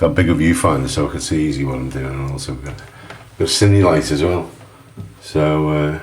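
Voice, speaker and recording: This man, with a Liverpool accent and a very deep, low pitch, talks at a moderate pace over noticeable background noise. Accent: Scouse. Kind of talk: casual talk to camera tutorial.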